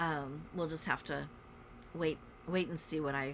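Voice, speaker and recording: A woman speaks with a very deep, low pitch and vocal fry. Her tone is bright and sharp, and her pace is moderate. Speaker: cross stitch vlogger. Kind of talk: casual chat. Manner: casual, many fillers.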